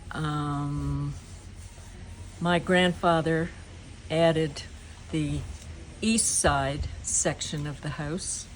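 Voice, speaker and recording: In an audible room echo, a speaker with a Nova Scotian accent moves at a very slow pace with long, frequent pauses. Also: woman. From Shelburne, Nova Scotia, Canada. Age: 70s. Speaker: local resident. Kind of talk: oral history reminiscence.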